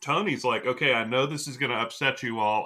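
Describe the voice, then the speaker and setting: Using an ordinary speaking voice, a man talks at a fairly quick pace and medium pitch with ordinary pitch variation. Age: 50s. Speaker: wrestling podcast co-host. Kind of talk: casual chat.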